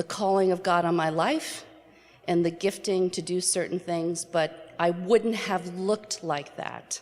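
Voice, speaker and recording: A woman's normal speaking voice, fairly low in pitch, at a fairly slow pace. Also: fairly even intonation. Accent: American. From New York City area. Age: 60s. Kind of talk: personal testimony talk.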